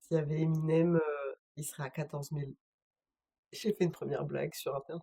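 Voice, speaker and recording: A woman's very deep, low, dark and mellow voice, somewhat breathy and monotone with flat intonation, at a fairly quick pace broken by long, frequent pauses, in a dry, close sound with no echo. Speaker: streamer. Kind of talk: casual live stream chat. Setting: home, solo live stream.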